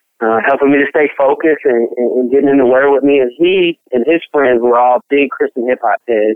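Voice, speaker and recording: Speech in a Memphis accent runs at a fairly quick pace with hardly any pauses. The intonation stays fairly even. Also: man, fairly high pitch for a man. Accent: Southern US (Memphis). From Memphis, Tennessee. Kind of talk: interview testimony.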